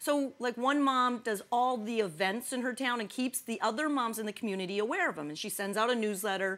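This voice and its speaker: With a Midwestern accent, a woman speaks at a fairly quick pace in a fairly high pitch, her tone bright and sharp and her intonation lively. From US Midwest. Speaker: talk show co-host. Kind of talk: casual chat.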